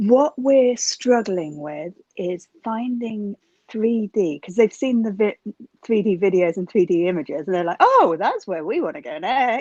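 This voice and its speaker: Speaking with a British accent, a woman keeps a fairly slow pace at medium pitch with lively intonation and big swings in loudness. The sound is dry and close, with no echo. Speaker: school teacher. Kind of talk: audience question.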